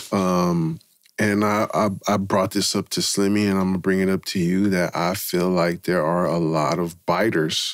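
In a quiet background, a man with a very deep, low pitch speaks at very even loudness with fairly even intonation. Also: moderate pace, dry sound with no echo. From San Francisco. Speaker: podcast host. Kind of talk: interview. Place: studio. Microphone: studio mic.

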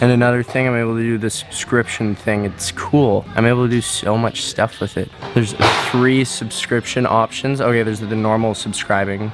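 Clear music plays behind a man who talks at a fairly quick pace in a monotone, flat intonation. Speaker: gymnast vlogger. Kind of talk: casual vlog chat. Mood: amused, relaxed. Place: home room. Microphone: phone near.

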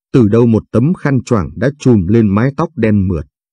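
Dry and close with no echo, a man's fairly low voice has a dark, mellow tone and ordinary pitch variation. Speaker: story narrator. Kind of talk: scripted narration, reading a story aloud.

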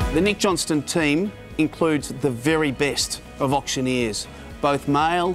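A man's fairly high-pitched voice at a moderate pace, with ordinary pitch variation, over clear background music. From Australia, Melbourne. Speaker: real estate sales director and auctioneer. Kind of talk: corporate promotional talk to camera. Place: waterside. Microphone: lapel.

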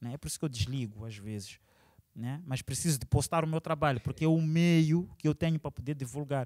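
In a quiet background, a man talks at a fairly quick pace. His loudness swings widely, while his pitch varies in an ordinary way. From Maputo, Mozambique. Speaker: musician and multidisciplinary artist; interviewee. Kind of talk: interview. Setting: cultural centre venue. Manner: casual, with English interjections. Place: hall. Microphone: handheld.

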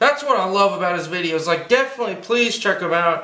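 A man talks in a raised, projected voice. Room echo is audible. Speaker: cartoon drawing instructor. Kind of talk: tutorial. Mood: enthusiastic, friendly.

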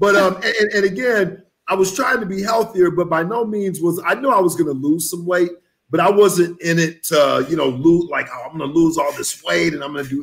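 A man with an American accent, high-pitched, with ordinary pitch variation and a fairly quick pace. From Texas. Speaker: vegan chef and author; guest. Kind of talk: interview.

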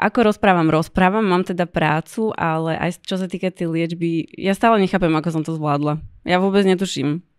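A woman's fairly low voice at a moderate pace, with fairly even intonation, over a quiet background. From Slovakia. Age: 30s. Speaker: blogger and cancer patient; podcast guest. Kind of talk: interview. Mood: serious, reflective. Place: studio. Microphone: studio mic.

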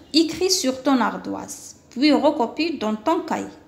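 With an Algerian accent, a woman speaks in a high voice with ordinary pitch variation. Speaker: primary school teacher; teacher explaining a workbook. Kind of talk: lesson. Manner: slow, syllable-by-syllable. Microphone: phone near.

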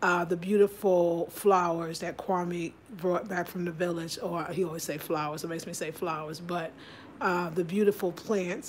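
A woman with a plain, everyday voice speaks at a moderate pace and a fairly low pitch. Her intonation is fairly even, and there is light background noise. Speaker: home vlogger. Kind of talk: casual vlog chat. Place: kitchen. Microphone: phone near.

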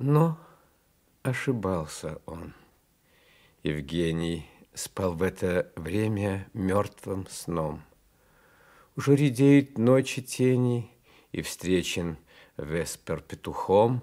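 This man talks very slowly with a fairly low pitch, a dark, mellow tone and very wide pitch swings. Long pauses come often, and the background is quiet. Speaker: actor. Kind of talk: poetry reading. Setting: studio. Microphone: old recording.

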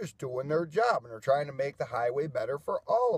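Against a quiet background, a man speaks fairly quickly in a somewhat breathy voice with ordinary pitch variation and a dry sound with no echo. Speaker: vlogger. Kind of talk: casual vlog rant. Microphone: phone near.

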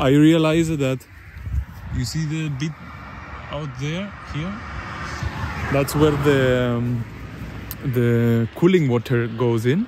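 A man speaks very slowly with long, frequent pauses and ordinary pitch variation, the sound dry with no echo but with noticeable background noise. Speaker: van traveler vlogger. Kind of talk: casual vlog chat. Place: street. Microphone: phone near.

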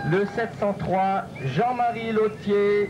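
Music plays in the background while a man talks in a high voice. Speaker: stock-car announcer. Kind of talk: live PA announcement presenting drivers to a crowd. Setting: PA system at stock-car track with spectators. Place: stadium. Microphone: pa.

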